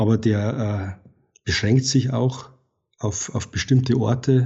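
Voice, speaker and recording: Somewhat breathy, this voice moves at a very slow pace with fairly even intonation. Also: man. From Bavaria, Regensburg area. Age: 40s. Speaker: wildlife and landscape photographer. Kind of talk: interview conversation. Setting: evening recording. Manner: halting with fillers.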